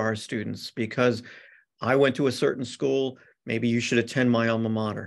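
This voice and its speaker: A man talks with fairly even intonation at a moderate pace. Behind him, all is quiet. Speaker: presenter. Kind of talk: presentation to parents. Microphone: video call.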